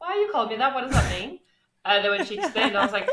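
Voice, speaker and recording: A woman speaks with an English accent in a bright, sharp tone. Her pitch swings very widely. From England. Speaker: online business manager. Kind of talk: interview.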